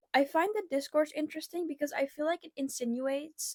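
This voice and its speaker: Soft-spoken, a woman talks with ordinary pitch variation in a dry, close sound with no echo. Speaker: booktuber. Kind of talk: casual chat. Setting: home bedroom. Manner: hesitant.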